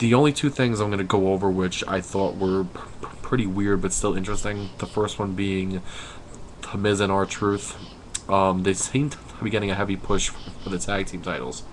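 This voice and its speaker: Noticeable background noise sits behind a man who talks at a moderate pace in a fairly low pitch, his intonation fairly even. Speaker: wrestling vlogger. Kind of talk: casual webcam commentary. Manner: halting, forcing words out.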